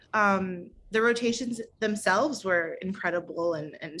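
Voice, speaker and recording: This woman has an unremarkable speaking voice, with a medium pitch and a General American accent. She talks at a fairly slow pace with ordinary pitch variation. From St. Louis, Missouri. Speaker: medical resident. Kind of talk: interview answer.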